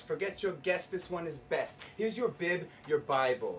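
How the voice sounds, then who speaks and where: A man speaks in a plain, everyday voice at a fairly slow pace, his intonation lively. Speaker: spoken word poet. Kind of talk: live spoken word poetry performance. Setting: live venue, bar.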